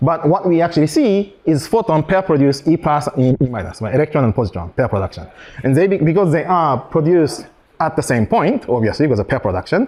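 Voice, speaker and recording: Noticeable background noise behind a voice of very wide pitch swings. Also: man, fairly high pitch for a man. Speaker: physicist giving an invited talk. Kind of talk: lecture. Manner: fast; halting, many fillers and restarts.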